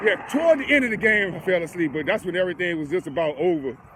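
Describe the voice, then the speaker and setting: Lively intonation and an animated tone at a fairly quick pace, over noticeable background noise. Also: man. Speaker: sports reaction vlogger. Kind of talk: casual chat.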